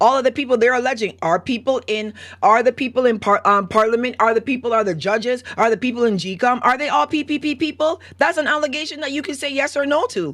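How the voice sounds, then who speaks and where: Her high-pitched voice races at a very fast pace with hardly any pauses, an animated tone and lively intonation as the woman speaks. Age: 40s. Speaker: call-in show host. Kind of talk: call-in show rant.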